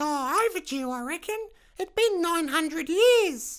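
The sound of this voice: A put-on character voice, female-sounding and pitched extremely high. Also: moderate pace.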